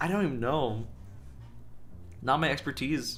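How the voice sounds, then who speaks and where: With lively intonation and audible room echo, a man talks at a moderate pace in a fairly high pitch. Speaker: vtuber streamer. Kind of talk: casual chat. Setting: livestream. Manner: stuttering.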